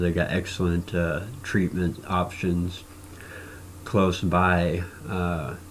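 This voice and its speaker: A man speaks with a Midwestern US accent. His pitch is very deep and low. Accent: US Midwest. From Nebraska. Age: 40s. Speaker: cancer patient vlogger. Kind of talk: personal video blog testimony. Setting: recording to camera. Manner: halting with frequent fillers.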